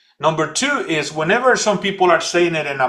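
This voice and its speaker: A man with a Spanish accent, a bright, sharp tone, high pitch and a moderate pace. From El Salvador. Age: 40s. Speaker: leadership coach and speaker. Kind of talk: podcast interview. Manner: animated; halting.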